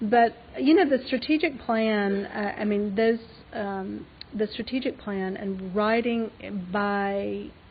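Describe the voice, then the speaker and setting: In an Alabama accent, a woman speaks at a very slow pace with a fairly high pitch and ordinary pitch variation. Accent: Southern US (Alabama). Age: 50s. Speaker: fashion designer and business owner. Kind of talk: lecture Q&A. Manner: halting.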